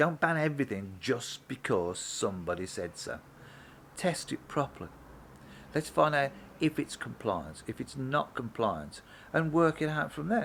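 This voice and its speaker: Moving at a moderate pace, a man speaks at a fairly high pitch with very wide pitch swings. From Birmingham, England. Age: 60s. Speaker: mechanic and vlogger. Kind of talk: opinion vlog. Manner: casual, hesitant with fillers.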